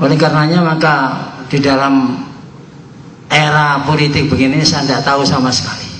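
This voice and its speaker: A man talks at a moderate pace in a fairly high pitch, with audible room echo and noticeable background noise behind him. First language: Javanese (speaking Indonesian). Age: 70s. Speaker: Islamic boarding school cleric. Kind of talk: religious speech. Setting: prayer gathering.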